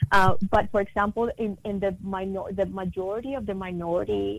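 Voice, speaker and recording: A woman with a Spanish accent at a medium pitch. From Latin America. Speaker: multicultural marketing consultant. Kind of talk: interview. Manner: many fillers and restarts.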